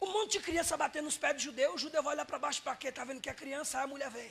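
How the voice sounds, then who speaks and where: The voice is raised and projected. Its tone is animated. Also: man. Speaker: evangelist preacher. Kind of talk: sermon.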